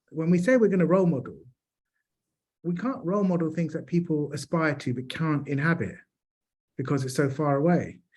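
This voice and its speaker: A man's fairly high voice in a London accent, at a fairly quick pace with ordinary pitch variation and long, frequent pauses. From South London, England. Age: 40s. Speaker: charity chief executive. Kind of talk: panel discussion.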